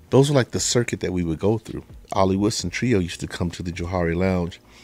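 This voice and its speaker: Speaking with a Southern US accent, a man has a very deep, low voice with a dark, mellow tone and ordinary pitch variation. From US South, Chattanooga, Tennessee. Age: 60s. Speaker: podcast host, vocal coach. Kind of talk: podcast monologue. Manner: casual, storytelling.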